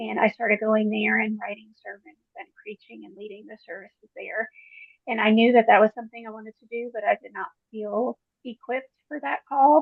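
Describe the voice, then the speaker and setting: A woman speaks in a normal speaking voice, fairly high in pitch, at a fairly quick pace. Her pitch varies an ordinary amount while her loudness swings widely. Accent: American. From Queens, New York. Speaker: church lay leader. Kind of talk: group video call sharing.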